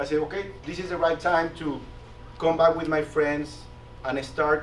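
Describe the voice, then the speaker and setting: Over noticeable background noise, a man in a Latin American accent speaks at a moderate pace with a fairly high pitch and fairly even intonation. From Mexico. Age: 40s. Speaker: business executive and guest speaker. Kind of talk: presentation to a class. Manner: halting, with frequent repetitions and fillers.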